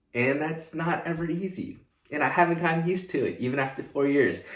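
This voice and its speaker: An upbeat, animated tone comes at a fairly quick pace, with audible room echo. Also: man. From US, moved from South Korea at age three. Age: 20s. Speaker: content creator, student. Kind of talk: casual Q&A to camera.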